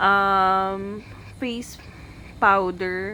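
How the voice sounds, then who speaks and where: Behind the speaker, music is playing. She is a woman talking at a medium pitch. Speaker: beauty vlogger. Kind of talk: makeup vlog. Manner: soft-spoken; casual Taglish code-switching.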